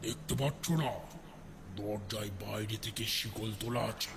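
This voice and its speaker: A man's put-on character voice, fairly low in pitch, over loud background noise. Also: fairly slow pace. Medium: audio drama. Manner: eerie, mocking.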